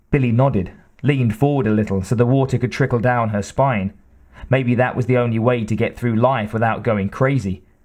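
A man speaks at a fairly quick pace with fairly even intonation and very even loudness. It is an unremarkable speaking voice at medium pitch. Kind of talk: audiobook reading aloud. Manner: even, measured narrator's pace.

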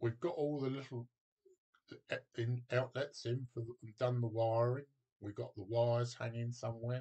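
Against a quiet background, a man with a dark, mellow, somewhat breathy tone speaks at a moderate pace in a monotone, flat intonation. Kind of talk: casual tutorial talk. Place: home room. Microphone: webcam.

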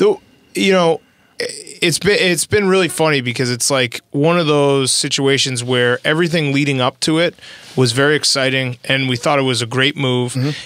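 This is an ordinary speaking voice from a man, fairly high in pitch with ordinary pitch variation, at a moderate pace. The sound is dry with no echo, and the loudness is very even. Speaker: sports podcast host. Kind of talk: casual chat. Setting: studio. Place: studio. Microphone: studio mic.

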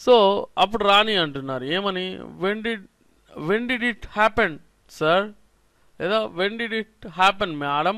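A man uses a raised, projected voice with a bright, sharp tone and a high pitch. His pitch varies in an ordinary way, while his loudness swings widely. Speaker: spoken English teacher. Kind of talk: lecture.

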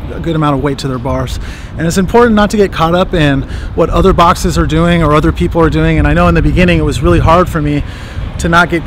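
A man's voice comes through dry with no echo, with noticeable background noise behind it. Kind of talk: casual vlog chat. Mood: reflective, proud. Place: street. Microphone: phone near.

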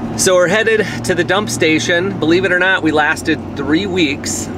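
Noticeable background noise sits behind a man talking at a moderate pace with ordinary pitch variation. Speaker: travel vlogger. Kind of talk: casual vlog chat. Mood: upbeat, relaxed. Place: car. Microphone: phone near.

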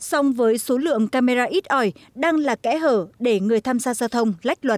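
The delivery has lively intonation at a moderate pace, with a dry, close sound and no echo. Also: woman. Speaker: news reporter. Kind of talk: scripted news voiceover. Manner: formal.

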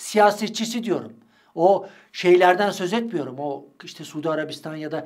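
Over a quiet background, a man speaks at a high pitch and a moderate pace. His intonation is lively. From Turkey. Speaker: street interviewer and political commentator; street interviewer, political commentator. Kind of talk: monologue commentary on interview clips. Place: studio.

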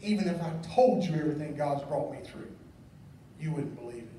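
Lively intonation comes through in a Southern US accent, with audible room echo around the voice. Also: man. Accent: Southern American. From US South. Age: 40s. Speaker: pastor. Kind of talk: sermon. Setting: church. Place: church.

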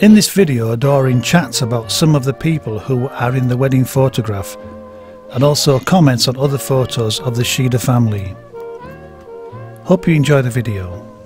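Over music in the background, a man speaks at a moderate pace and medium pitch with ordinary pitch variation. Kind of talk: documentary narration.

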